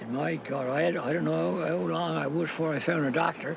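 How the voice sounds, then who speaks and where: The voice moves at a moderate pace with lively intonation over noticeable background noise. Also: man. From Newfoundland. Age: 80s+. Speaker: fisherman. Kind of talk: interview answer.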